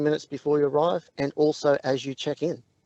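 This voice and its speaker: A man with an Australian accent speaks at a moderate pace and a fairly high pitch. The sound is dry and close, with no echo. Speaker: app co-founder. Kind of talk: radio interview.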